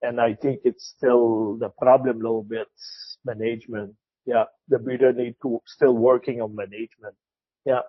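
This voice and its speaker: A man talks at a moderate pace and medium pitch with a Quebec accent. His intonation is flat and monotone. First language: French. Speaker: retired cattle classifier. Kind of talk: interview. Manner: halting, repeats words.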